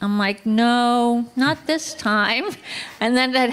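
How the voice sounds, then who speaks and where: Over noticeable background noise, a woman talks at a fairly slow pace with a high pitch and ordinary pitch variation. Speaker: horse owner sharing memories at a memorial. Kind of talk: personal storytelling at a memorial. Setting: outdoor barn gathering with audience, livestreamed.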